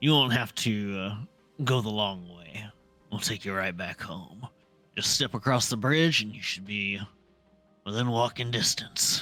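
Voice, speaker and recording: Faint music plays behind a man doing a raspy, put-on character voice at a fairly low pitch, with long, frequent pauses. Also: moderate pace. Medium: virtual streamer. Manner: chuckling, easygoing.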